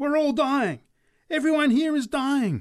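Shouting in a high-pitched, put-on character voice, the speaker keeps a moderate pace. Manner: screaming.

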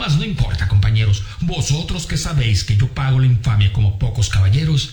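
Natural-sounding reading voice

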